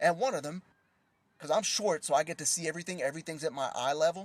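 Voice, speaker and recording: A man speaks very quickly, his voice pitched fairly high. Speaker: prophetic teacher. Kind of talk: livestream teaching. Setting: live stream. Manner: soft-spoken; casual, conversational.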